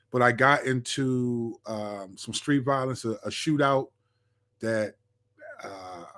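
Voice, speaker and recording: Speaking in an unremarkable speaking voice, a man of medium pitch shows ordinary pitch variation. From Washington DC area, Maryland. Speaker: pastor and rapper. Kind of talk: interview testimony.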